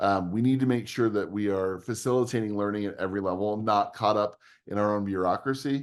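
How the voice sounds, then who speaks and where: Over a quiet background, a man speaks at a fairly low pitch with ordinary variation. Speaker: edtech company speaker, podcast co-host. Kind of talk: conference presentation. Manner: fast; animated.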